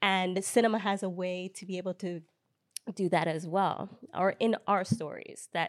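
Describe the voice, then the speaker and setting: A woman speaks with an American accent at a moderate pace, her pitch medium and her intonation fairly even. It's a plain, everyday voice, with a dry, close sound and no echo. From United States, Ghanaian family. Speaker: filmmaker. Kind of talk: panel discussion.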